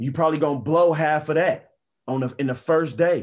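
Speaking with an American accent in an ordinary speaking voice, a man keeps a moderate pace and fairly even intonation on a very clean recording with a silent background. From US Midwest, inner-city Indianapolis. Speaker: former professional athlete. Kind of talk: casual interview chat.

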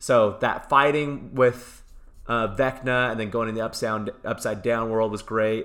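Speaking at a fairly slow pace, a man with an unremarkable speaking voice keeps a medium pitch and fairly even intonation. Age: 30s. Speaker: movie podcast co-host. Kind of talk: casual chat. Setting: in person recording.

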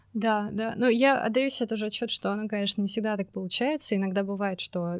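On a very clean recording with a silent background, a woman with an ordinary speaking voice talks at a fairly quick pace and medium pitch, with fairly even intonation in a dry, close sound with no echo. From Russia, Saint Petersburg. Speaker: environmental designer and urban planner. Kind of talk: casual interview.

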